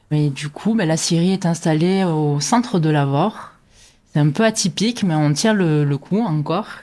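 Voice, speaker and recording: The recording is very clean, with a silent background. A woman speaks in a fairly low pitch with ordinary pitch variation. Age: 30s. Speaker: sawmill owner. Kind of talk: interview. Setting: at home next to the sawmill. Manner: hesitant, many fillers.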